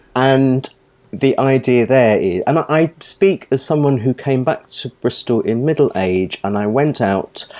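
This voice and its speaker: A man with an unremarkable speaking voice at a medium pitch and fairly slow pace. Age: middle-aged. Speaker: drag nun charity member. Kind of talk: interview. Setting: remote call.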